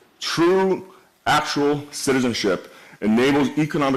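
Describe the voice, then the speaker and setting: A man's voice with very wide pitch swings, amid noticeable background noise. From Canada. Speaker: event host, moderator. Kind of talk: moderated panel discussion. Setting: stage with audience.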